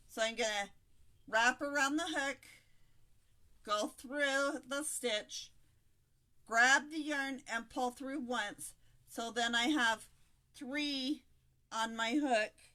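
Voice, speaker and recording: Raised and projected, a woman's high-pitched voice has a bright, sharp tone, moving at a very slow pace with long, frequent pauses. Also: ordinary pitch variation. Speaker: crochet video creator. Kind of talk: live stream crochet tutorial chat. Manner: slurred speech; hesitant with fillers.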